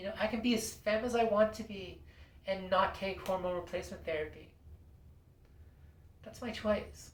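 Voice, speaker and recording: Amid noticeable background noise, a woman with a medium pitch speaks with fairly even intonation, big swings in loudness and long, frequent pauses. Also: moderate pace. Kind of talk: casual talk to camera. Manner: hesitant, lots of fillers.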